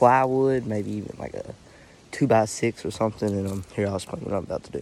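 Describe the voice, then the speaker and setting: With an Arkansas accent, a man speaks at a fairly low pitch and with fairly even intonation. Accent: Southern US (Arkansas). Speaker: hunting vlogger. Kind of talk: casual outdoor vlog narration. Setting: outdoors in woods. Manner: hesitant, many fillers; quiet.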